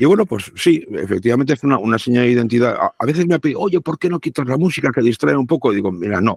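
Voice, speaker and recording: A man with a medium-pitched voice speaks at a very fast pace with lively intonation and hardly any pauses, in a dry, close sound with no echo. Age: 60s. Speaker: radio broadcaster. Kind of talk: casual chat.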